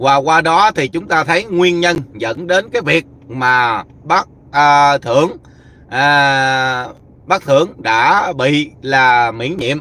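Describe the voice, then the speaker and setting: At a very slow pace, a man speaks with a fairly high pitch, ordinary pitch variation and a bright, sharp tone in a dry sound with no echo. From Vietnam. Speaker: YouTube commentator. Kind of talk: livestream commentary. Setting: live stream while travelling. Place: car. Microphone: phone near.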